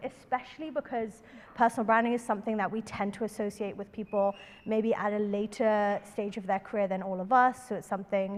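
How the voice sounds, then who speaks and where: In a London accent, a woman talks very fast at a fairly high pitch. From London, England. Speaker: workshop presenter, startup consultant. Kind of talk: workshop presentation.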